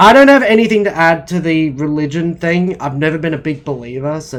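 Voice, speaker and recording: The speaker talks very fast in an Australian accent. Pitch varies in an ordinary way. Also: man. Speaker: podcast host. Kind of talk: casual podcast chat.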